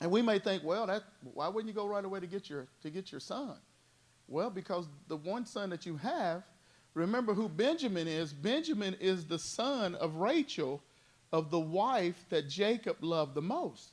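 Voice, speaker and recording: A man speaks loudly in a high voice with lively intonation. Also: moderate pace. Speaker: Bible study teacher. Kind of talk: Bible study teaching. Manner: animated.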